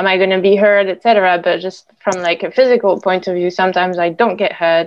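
A woman is speaking. She has a French accent. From France. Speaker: storyboard artist. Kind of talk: panel discussion.

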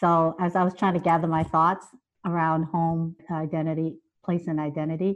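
A woman with a Chinese accent, fairly low in pitch, at a moderate pace. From Boston Chinatown. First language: Chinese dialect. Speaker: educator and writer. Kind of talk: panel discussion. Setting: video call.

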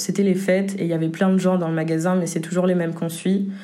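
Audible room echo surrounds a woman speaking in a monotone with flat intonation. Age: 20s. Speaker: testimony contributor. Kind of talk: testimony.

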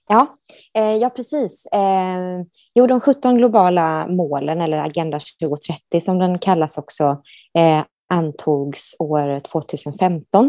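A woman's very slow, fairly low voice with a dark, mellow tone and lively intonation, dry and close with no echo, over a quiet background. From Sweden, Gothenburg. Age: 30s. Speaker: human rights professional. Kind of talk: interview. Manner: hesitant, many fillers.

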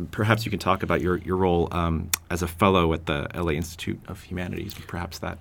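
Very deep and low, a man's voice runs at a very fast pace with hardly any pauses. His intonation stays monotone and flat. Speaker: interviewer. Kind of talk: casual interview.

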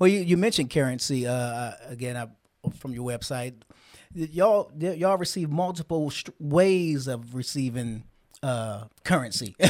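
A normal speaking voice from a man with an American accent, fairly high in pitch, lively in intonation, at a moderate pace. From Washington DC. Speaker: podcast host. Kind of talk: casual interview. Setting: studio.

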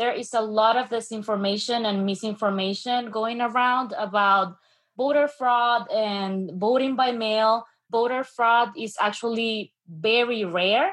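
At a fairly slow pace, a woman with a Spanish accent speaks at a fairly high pitch with ordinary pitch variation. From Venezuela. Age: 20s. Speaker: student and radio assistant producer. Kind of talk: panel discussion.

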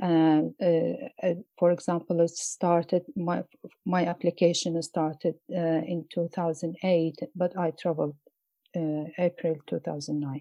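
In an Iraqi accent, a woman talks at a very slow pace. Her voice sits fairly low, with fairly even intonation. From Mosul, Iraq. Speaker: poet and journalist. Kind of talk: interview. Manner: halting.

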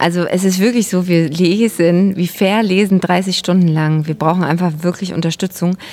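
Hardly pausing, a woman with a fairly low pitch and a dark, mellow tone speaks at a moderate pace with fairly even intonation. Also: very even loudness. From Saxony, near Chemnitz. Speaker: theatre maker. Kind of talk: interview. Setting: outdoors, market square.

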